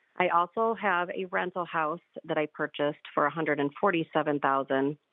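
This is a woman with a normal speaking voice. Her pitch is fairly low, with ordinary pitch variation. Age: 40s. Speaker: caller. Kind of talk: radio call-in question. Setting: phone call.

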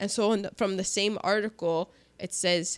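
A woman with a plain, everyday voice speaks at a medium pitch and a moderate pace, with ordinary pitch variation. The sound is dry and close with no echo, on a very clean recording with a silent background. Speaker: podcast host. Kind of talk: casual chat. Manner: chatty, jokey.

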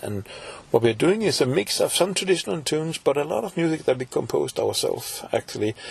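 A man with a Danish accent speaks at a fairly quick pace. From Denmark, Copenhagen. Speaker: folk musician and composer. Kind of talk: interview.

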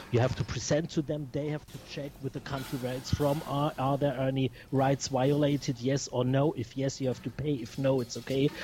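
Over noticeable background noise, a man with a non-native accent talks in a fairly even intonation. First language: not English. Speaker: record label founder. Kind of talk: interview. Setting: Skype call. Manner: halting.

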